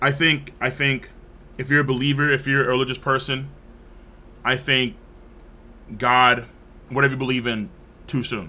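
A man speaks with a bright, sharp tone and fairly even intonation. Long, frequent pauses break up his speech. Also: moderate pace. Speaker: livestreamer. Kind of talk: livestream commentary. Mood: somber, reflective. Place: home room.

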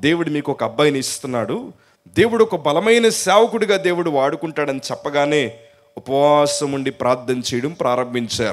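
A man's fairly high voice with lively intonation, an ordinary speaking voice. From coastal Andhra Pradesh, India. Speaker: pastor. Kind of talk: sermon.

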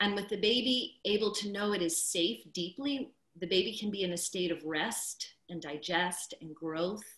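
Against a quiet background, a woman talks at a moderate pace with hardly any pauses, and audible room echo surrounds her voice. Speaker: childbirth educator and doula. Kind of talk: casual interview chat. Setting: video call. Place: home room. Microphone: video call.

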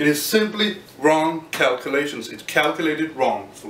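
A man with a Danish accent at a moderate pace, ordinary pitch variation, and audible room echo. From Denmark. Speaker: physics graduate student. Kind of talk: explainer tutorial; lecture. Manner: halting. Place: home room.

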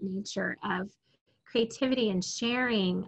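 A fairly slow-paced woman's voice, its pitch varying in an ordinary way. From Alaska. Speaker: podcast host. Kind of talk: interview. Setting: video call.

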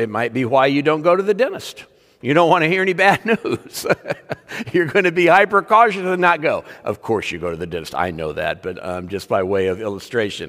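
A man at a fairly quick pace against a quiet background. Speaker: preacher. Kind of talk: sermon. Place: church. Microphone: podium.

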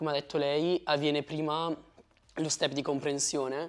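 A man delivers his words monotone and flat. He keeps to a moderate pace. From Italy. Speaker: former exchange student. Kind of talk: interview. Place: studio. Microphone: lapel.

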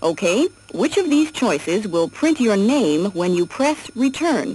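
A woman speaks at a fairly slow pace with very wide pitch swings and very even loudness, in a dry sound with no echo. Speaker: narrator of educational software. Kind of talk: 1979 instructional cassette narration, scripted. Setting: computer cassette audio track played through a tape recorder. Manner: formal, even-paced, clear and instructive; measured, step-by-step, impersonal. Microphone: old recording.

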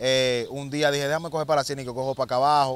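His intonation is monotone and flat. The man's voice is dry, with no echo. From Dominican Republic. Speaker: former street criminal; interview guest. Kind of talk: interview testimony. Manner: halting, repetitive. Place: street. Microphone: handheld.

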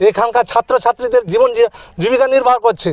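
A man talks at an extremely high pitch with ordinary pitch variation. The sound is dry and close, with no echo. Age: 50s. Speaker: villager. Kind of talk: street interview complaint.

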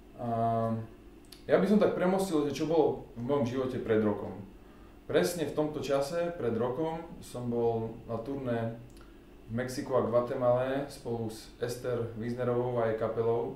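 With light background noise and audible room echo, a man talks at a moderate pace. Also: medium pitch for a man, ordinary pitch variation. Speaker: double bassist and bass guitarist. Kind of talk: casual talk to camera. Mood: calm, reflective. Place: home room. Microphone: camera far.

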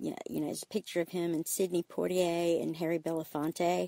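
A woman's fairly low voice in an Alabama accent, flat and monotone at a fairly quick pace, with a dry, close sound and no echo. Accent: Southern US (Alabama). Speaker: parent interviewed by her child. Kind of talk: casual storytelling interview.

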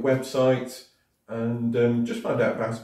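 A man is heard against a quiet background with audible room echo. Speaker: sales trainer. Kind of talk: tutorial. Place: home room. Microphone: camera far.

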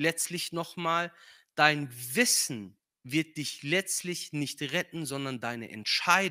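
A man with a non-native accent speaks at a very slow pace, his tone bright and sharp. His pitch varies in an ordinary way, and the background is quiet. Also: fairly high pitch for a man. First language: not German (speaking German). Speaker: guest preacher; preacher. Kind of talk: sermon. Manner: hesitant with filler sounds. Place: church. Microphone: handheld.

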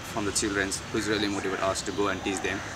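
Noticeable background noise accompanies a man's voice. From Pokhara, Nepal. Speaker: teaching coordinator. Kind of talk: casual talk to camera. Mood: warm, earnest. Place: garden.

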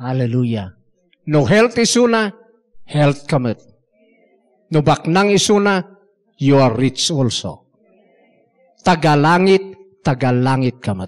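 Speech comes at a very slow pace, broken by long, frequent pauses, with very wide pitch swings. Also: man, fairly high pitch for a man. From Philippines, Ilocano region. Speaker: preacher. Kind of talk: sermon mixing Ilocano, Tagalog and English, with scripture references and amens. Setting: church. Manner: animated, exhortative preaching, rhythmic repeated 'Amen?' calls to the congregation. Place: church. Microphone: handheld.

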